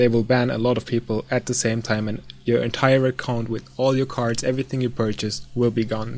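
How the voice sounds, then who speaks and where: A man with a non-native accent speaks at a moderate pace in a flat, monotone delivery. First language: not English. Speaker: gaming video creator. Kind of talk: casual tutorial. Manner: hesitant, many fillers.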